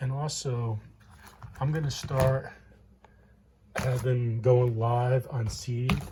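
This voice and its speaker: A man with a medium pitch talks at a very slow pace, taking long, frequent pauses, his intonation fairly even and audible room echo around him. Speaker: home gardener, channel owner. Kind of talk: casual show-and-tell vlog. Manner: mumbling, hesitant with fillers.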